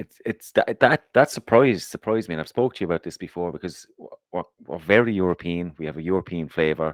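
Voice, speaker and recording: A man with an Irish accent talks at a very fast pace in a very deep, low pitch, with ordinary pitch variation, big swings in loudness, and a dry, close sound with no echo. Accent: Irish, harsh. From Ireland, Waterford. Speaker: podcast co-host. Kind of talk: casual chat.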